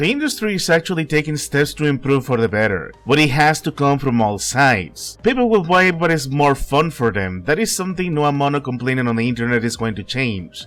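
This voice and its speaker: Music plays in the background as a man speaks with fairly high pitch and lively intonation, hardly pausing. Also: fairly quick pace. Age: 30s. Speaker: gaming commentator YouTuber. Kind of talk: personal opinion video essay.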